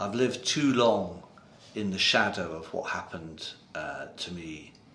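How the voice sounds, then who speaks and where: In audible room echo, a man speaks at a very deep, low pitch with ordinary pitch variation. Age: 60s. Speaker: abuse survivor and campaigner. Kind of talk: interview testimony. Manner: hesitant with fillers.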